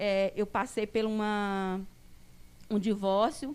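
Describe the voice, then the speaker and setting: A woman is speaking. Her pace is very slow. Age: 30s. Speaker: mother and staff member. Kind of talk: personal testimony. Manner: halting.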